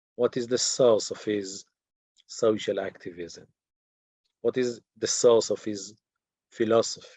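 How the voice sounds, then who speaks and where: Speaking very slowly, a man with an Israeli accent keeps to a medium pitch. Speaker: teacher. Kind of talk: lecture. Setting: video call. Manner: halting.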